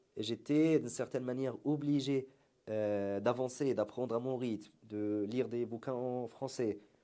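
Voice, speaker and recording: With an Arabic accent, a man talks at a fairly slow pace in a dark, mellow tone, medium pitch and fairly even intonation. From Syria. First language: Arabic (speaking French). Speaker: entrepreneur, marketing agency founder. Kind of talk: interview conversation.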